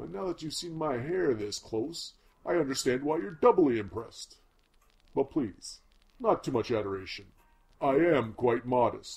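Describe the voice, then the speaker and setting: With a medium pitch and very wide pitch swings, a man talks at a moderate pace broken by long, frequent pauses. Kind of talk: comic overacting. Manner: pompous, boastful, breezy.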